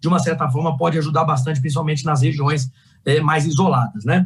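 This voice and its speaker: A man is speaking. His pace is very fast. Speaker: energy sector executive. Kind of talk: panel talk.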